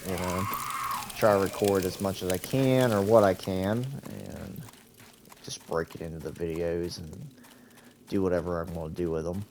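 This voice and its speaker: The speech moves at a moderate speed. Behind it, background noise is noticeable. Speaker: gaming YouTuber. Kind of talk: gameplay commentary. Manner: quieter than usual.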